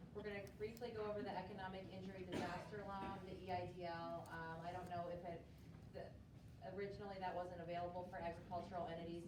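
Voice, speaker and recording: The speech moves at a fairly quick pace in a monotone, flat intonation. Audible room echo and noticeable background noise are present. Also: woman. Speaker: accountant and fair board president. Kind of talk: presentation to conference audience. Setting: conference room with microphone and audience. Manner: loud.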